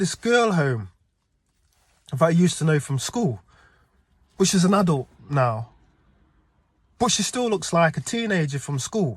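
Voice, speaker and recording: High-pitched, a man's voice makes very wide pitch swings, with long, frequent pauses throughout. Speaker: dream vlogger. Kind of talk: casual monologue, dream recounting. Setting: outdoors. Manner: halting, stuttering.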